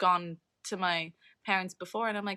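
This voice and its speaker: A woman with an American accent, a bright, sharp tone and monotone, flat intonation, dry and close with no echo, in a very clean recording with a silent background. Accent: sounds American. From Saint Martin, Caribbean. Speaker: environmental activist. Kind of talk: casual chat.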